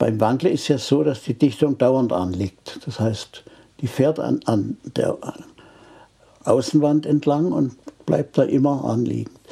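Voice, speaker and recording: Slow-ish and medium in pitch, this man's voice has a dark, mellow tone, vocal fry and ordinary pitch variation, at a fairly slow pace. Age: 80s+. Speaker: retired engine engineer. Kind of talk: interview. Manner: halting.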